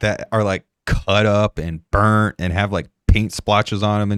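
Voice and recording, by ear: A quiet background sits behind a natural voice reading aloud.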